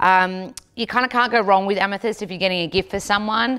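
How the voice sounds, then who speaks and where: A woman with an Australian accent, at a very fast pace. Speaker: nutritionist and yoga teacher vlogger. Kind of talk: casual vlog tutorial. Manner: casual, chatty.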